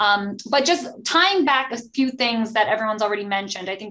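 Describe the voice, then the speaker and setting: A woman's normal speaking voice, fairly high in pitch, with an American accent, ordinary pitch variation and a fairly quick pace. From New Jersey. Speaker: podcast host, attorney. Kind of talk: professional panel discussion.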